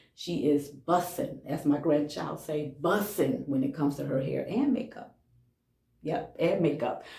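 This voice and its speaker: A somewhat breathy voice with a dark, mellow tone carries lively intonation. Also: woman, very deep, low pitch for a woman, fairly slow pace. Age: 60s. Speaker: hair care vlogger. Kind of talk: casual tutorial vlog. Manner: conversational, repetitive with frequent okay.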